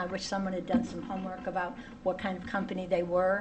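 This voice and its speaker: A woman speaks at a medium pitch. Audible room echo and noticeable background noise accompany her. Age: 70s. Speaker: public commenter, tenant. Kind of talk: public hearing testimony. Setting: town hall meeting.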